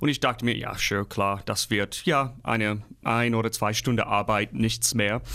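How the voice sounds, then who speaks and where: In an English accent, a man talks at a moderate pace with a medium pitch and fairly even intonation. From US Midwest. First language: English (speaking German). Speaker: opera singer. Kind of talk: interview.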